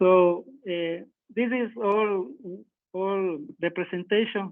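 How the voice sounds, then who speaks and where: A man's high voice with a Spanish accent, very slow pace and fairly even intonation. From Ecuador. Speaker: power system engineer. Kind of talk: technical presentation. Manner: halting.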